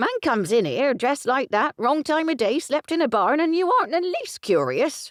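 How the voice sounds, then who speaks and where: A man puts on a croaky character voice at an extremely high pitch, raised and projected, keeping a moderate pace with hardly any pauses. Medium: read story. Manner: gossipy, suspicious.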